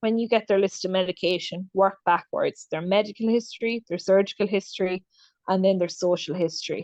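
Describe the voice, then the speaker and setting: With an Irish accent, a woman speaks at a fairly quick pace and a medium pitch, with fairly even intonation and a dry, close sound with no echo. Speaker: clinical nurse specialist. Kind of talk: webinar lecture. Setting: video call. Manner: fast.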